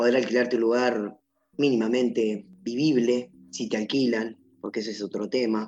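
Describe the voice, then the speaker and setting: Music plays in the background as a man speaks at medium pitch. His pace is moderate and his intonation fairly even. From Argentina, Entre Ríos (Gualeguaychú). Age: 30s. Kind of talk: personal testimony interview. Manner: halting, with fillers and repetitions.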